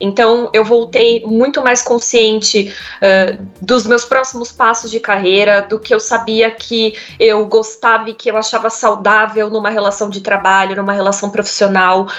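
Over music in the background, a woman speaks in a monotone, flat intonation at a fairly slow pace. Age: 30s. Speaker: HR manager. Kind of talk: interview.

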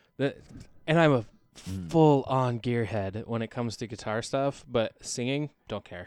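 An ordinary speaking voice with an American accent, big swings in loudness, ordinary pitch variation and a moderate pace, in a very clean recording with a silent background. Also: man, medium pitch for a man. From Oregon, US (Albany area). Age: 30s. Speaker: singer-songwriter. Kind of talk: casual chat. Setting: studio.

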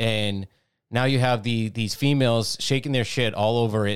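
The recording is very clean, and the background is silent. An unremarkable speaking voice keeps a moderate pace with fairly even intonation. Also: man. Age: 40s. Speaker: podcast co-host. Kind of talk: angry rant. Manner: sarcastic, jeering, chiming in.

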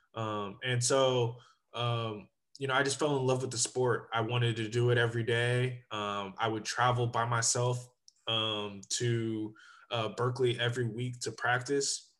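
A man with an American accent, medium pitch and monotone, flat intonation, speaking at a fairly slow pace over a quiet background. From Sacramento, Northern California. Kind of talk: interview.

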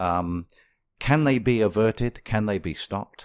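The speaker has an English accent and a fairly slow pace, with ordinary pitch variation. The recording is very clean and dry, close with no echo, over a silent background. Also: man. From England. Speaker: radio host. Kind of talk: talk radio.

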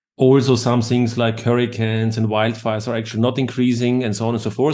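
A man with a German accent speaks at a medium pitch. His pace is fairly quick and his intonation monotone and flat. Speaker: podcast host. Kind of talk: interview.

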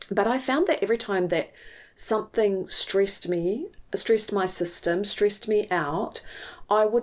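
A woman speaks with a New Zealand accent at a fairly slow pace, with ordinary pitch variation. The recording is very clean, with a silent background. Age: 50s. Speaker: mindset coach. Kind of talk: personal monologue.

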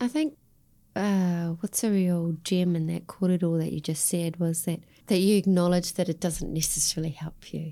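At a moderate pace, a woman with a fairly low pitch and a dark, mellow tone speaks with fairly even intonation. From Australia. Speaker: podcast host. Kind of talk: podcast interview.

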